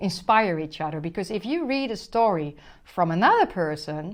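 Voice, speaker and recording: Against a quiet background, a woman with a Dutch accent and a fairly low pitch speaks at a moderate pace. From Netherlands. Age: 50s. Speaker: spiritual relationship coach. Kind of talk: motivational monologue to camera.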